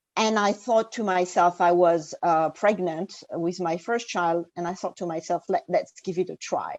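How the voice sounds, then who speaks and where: With a French accent, a woman speaks at a moderate pace and medium pitch, with fairly even intonation and hardly any pauses, in a dry, close sound with no echo against a quiet background. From France. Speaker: executive coach. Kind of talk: interview conversation. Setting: remote call. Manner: hesitant, many fillers.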